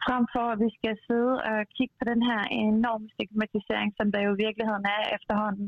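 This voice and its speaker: A woman speaks at a fairly high pitch. Her intonation stays flat and monotone. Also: fairly quick pace, very even loudness. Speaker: TV personality and businesswoman. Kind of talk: casual discussion. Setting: phone call.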